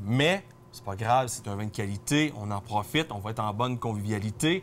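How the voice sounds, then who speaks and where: Speech at a fairly quick pace plays over faint music in the background. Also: man. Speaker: wine columnist; guest. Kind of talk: casual chat. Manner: fast. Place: shop. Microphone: lapel.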